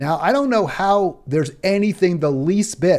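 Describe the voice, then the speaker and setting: In a very clean recording with a silent background, a man with a plain, everyday voice talks at a moderate pace in an American accent, his intonation lively. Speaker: political commentary streamer. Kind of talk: solo political commentary livestream. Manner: many filler words and restarts.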